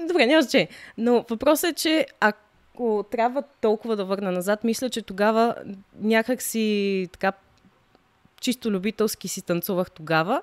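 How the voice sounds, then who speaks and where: Dry, close sound with no echo carries a woman's fairly high voice. She speaks fairly slowly with lively intonation. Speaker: professional dancer. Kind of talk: casual chat.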